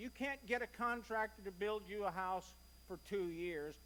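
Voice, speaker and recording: A man with a Kentucky accent speaks at a moderate pace in a raised, projected, high-pitched voice with a bright, sharp tone. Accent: US Southern (Kentucky). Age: 60s. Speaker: church member. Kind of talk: church presentation. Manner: conversational.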